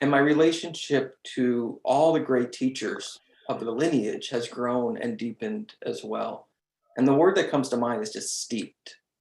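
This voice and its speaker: With a normal speaking voice, a man speaks at a fairly high pitch with lively intonation and a moderate pace. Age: 30s. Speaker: meditation group member. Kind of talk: testimony.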